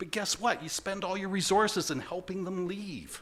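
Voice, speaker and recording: A man with a Canadian accent and vocal fry. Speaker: conference presenter. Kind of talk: conference presentation. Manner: fast.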